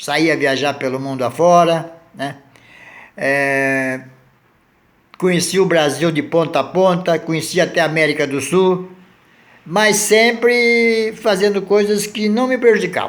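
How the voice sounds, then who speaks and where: At a fairly slow pace, a man with a high pitch talks in lively intonation, leaving long, frequent pauses. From southern Brazil, Santa Catarina. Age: 70s. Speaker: vlogger. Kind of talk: casual monologue.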